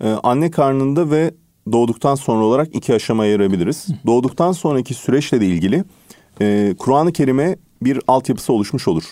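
In a dark, mellow tone, a man speaks at a fairly quick pace with lively intonation and very even loudness. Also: medium pitch for a man. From Turkey. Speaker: English teacher and author. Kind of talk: radio interview. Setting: radio studio.

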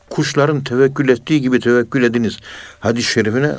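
There is music in the background as a man speaks. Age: 60s. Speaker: professor of Sufism. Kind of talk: religious radio talk.

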